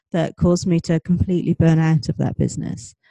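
Fairly low-pitched female voice, dark and mellow in tone, with a southern English accent and a dry, close sound with no echo. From UK. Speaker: life coach and author. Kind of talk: interview.

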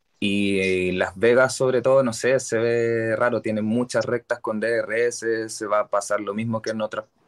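With a Chilean accent, a man talks in a fairly low pitch and a monotone, flat intonation, recorded with a dry, close sound with no echo. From Santiago, Chile. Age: 30s. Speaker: Formula 1 fan. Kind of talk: casual chat.

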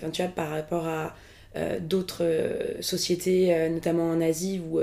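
A woman speaks at a moderate pace in a fairly low voice. Her tone is dark and mellow, her intonation monotone and flat. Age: 20s. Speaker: actress and screenwriter. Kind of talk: casual chat.

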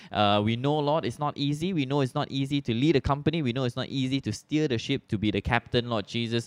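In a Malaysian accent, a man talks very fast with hardly any pauses, at a medium pitch and with ordinary pitch variation. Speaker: podcast host. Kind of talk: casual interview; prayer.

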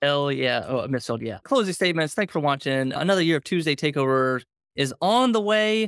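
A man's plain, everyday voice, fairly high in pitch and fairly quick, with a dry, close sound and no echo. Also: lively intonation. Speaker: e-commerce business analyst. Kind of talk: live-streamed business show.

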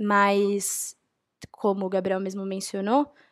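Recorded very cleanly against a silent background with a dry, close sound and no echo, a woman in a normal speaking voice talks at a medium pitch and a fairly slow pace. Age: 20s. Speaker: university student. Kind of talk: panel discussion.

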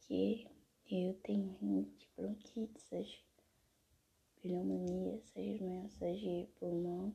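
A very slow pace, with big swings in loudness. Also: woman. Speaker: art vlogger. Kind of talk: casual monologue.

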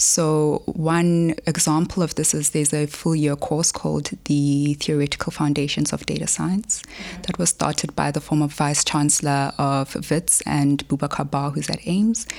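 A woman with a South African accent, a very deep, low pitch, moderate pace, fairly even intonation, and very even loudness, over noticeable background noise. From South Africa, Polokwane. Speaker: mathematics researcher. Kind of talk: interview.

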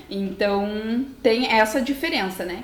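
A woman talks with lively intonation while noticeable background noise plays behind her. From Brazil, interior of Paraná. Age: 20s. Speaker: physical educator, dance biomechanics specialist. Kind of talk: explanatory interview talk.

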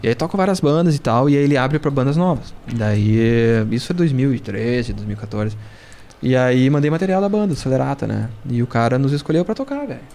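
This is an ordinary speaking voice at a fairly quick pace. The intonation is lively. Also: man, medium pitch for a man. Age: 40s. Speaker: rock drummer. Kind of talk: casual chat. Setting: studio.

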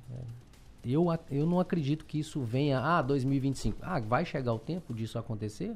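Music plays in the background as a man with a fairly high pitch talks at a moderate pace with lively intonation. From Belo Horizonte, Brazil. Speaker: car salesman and dealership owner. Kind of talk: interview.

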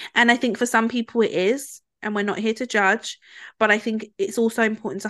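A woman's bright, sharp voice in a British accent, against a quiet background. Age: 20s. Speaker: podcast co-host. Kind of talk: casual chat.

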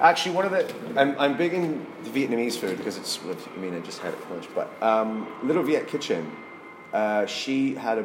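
A man with a Canadian accent speaks at a moderate pace and a medium pitch, with very wide pitch swings. The recording has audible room echo and noticeable background noise. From Saskatchewan, Canada. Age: 30s. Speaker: painter. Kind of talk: casual interview. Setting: artist's studio.

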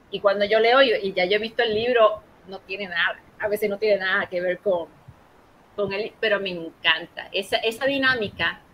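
A woman talks at a medium pitch and a moderate pace. Her pitch varies in an ordinary way. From Puerto Rico, Ponce. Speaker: librarian. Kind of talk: interview. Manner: halting, many repetitions.

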